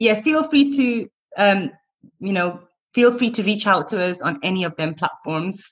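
A woman with a Lancashire accent, medium in pitch, somewhat breathy, with lively intonation. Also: moderate pace. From northern England, Blackburn. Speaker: teacher and street cat rescuer. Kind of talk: casual interview.

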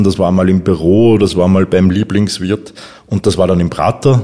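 Very deep and low in pitch, a man speaks with a dark, mellow tone. His pace is moderate and his intonation fairly even. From Upper Austria. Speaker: copywriter. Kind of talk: interview.

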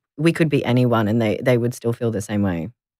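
The voice has an Australian accent on a very clean recording with a silent background. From Melbourne, Australia. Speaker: content creator and advocate. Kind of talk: interview.

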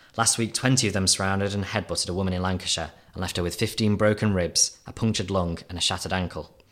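A man talks at a very fast pace, with hardly any pauses. His fairly low pitch stays fairly even in intonation. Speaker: journalist. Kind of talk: reading aloud.

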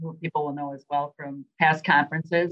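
A woman talks with a Minnesota accent. Her pace is fairly quick. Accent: Minnesota, nasal. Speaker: venue sales and marketing director. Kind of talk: interview.

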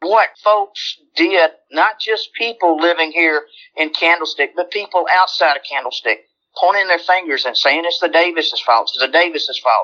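A woman with a Southern US accent speaks at a moderate pace and fairly low pitch. Her tone is bright and sharp, and her intonation lively. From Alabama. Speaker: longtime neighborhood resident, retired healthcare worker. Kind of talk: interview. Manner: animated.

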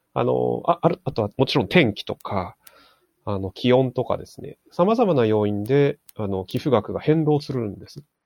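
A man with a plain, everyday voice talks at a moderate pace and medium pitch, with lively intonation. His loudness swings widely, and the sound is dry and close with no echo. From Japan, Aomori (Hirosaki). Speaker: fundraiser. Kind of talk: casual chat.

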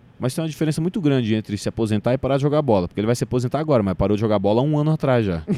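A man speaks at a very fast pace with lively intonation, a medium pitch and very even loudness. His tone is dark and mellow, and the sound is dry and close with no echo. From Brazil, Cuiabá (Mato Grosso). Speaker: stand-up comedian. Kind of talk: casual chat.

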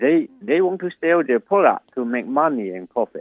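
This is a plain, everyday voice at a moderate pace. Its intonation is lively. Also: man. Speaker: economics professor. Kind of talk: interview answers.

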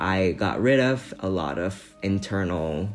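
Showing very wide pitch swings, a man talks with a Vietnamese accent. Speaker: architectural designer. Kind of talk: personal story.

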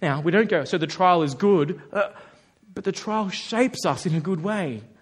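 This man has a high pitch and an Australian accent. He talks at a moderate pace with lively intonation. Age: 30s. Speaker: pastor. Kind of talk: sermon. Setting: church.

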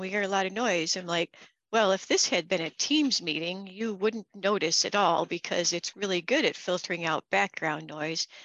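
A woman at a medium pitch and moderate pace, with ordinary pitch variation, a quiet background and a dry, close sound with no echo. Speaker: podcast host, MSP owner. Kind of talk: casual chat.

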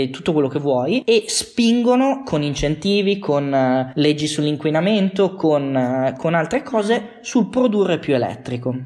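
A man speaks at a fairly slow pace in a fairly high voice with very wide pitch swings, over noticeable background noise. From Piedmont, Italy (Bra). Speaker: automotive industry worker. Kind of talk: casual interview. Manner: halting, repeats words.

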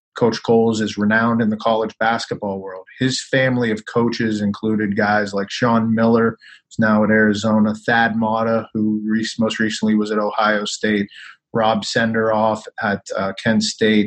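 Speaking at a moderate pace, a man uses a fairly low pitch and a monotone, flat intonation. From Pittsburgh, Pennsylvania. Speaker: basketball coach and sports executive. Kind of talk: casual interview.

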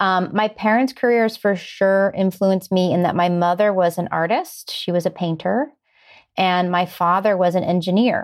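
An unremarkable speaking voice, a woman with an American accent talks at a moderate pace and medium pitch, with fairly even intonation and very even loudness, on a very clean recording with a silent background. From US Midwest, Ohio. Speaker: screenwriter and producer. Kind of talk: interview. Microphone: good quality audio.

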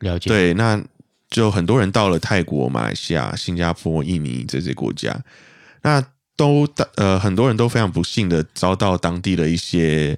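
In a very clean recording with a silent background, a man with a Malaysian accent speaks at a moderate pace in a very deep, low voice that swings very widely in pitch. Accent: Malaysian Mandarin. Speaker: guest from Malaysia. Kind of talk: casual chat.

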